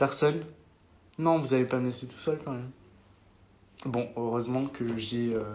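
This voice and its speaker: A man speaks at a medium pitch with fairly even intonation. His loudness swings widely, and he leaves long, frequent pauses. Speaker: social media influencer. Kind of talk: casual chat. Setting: live stream with friends. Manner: fast.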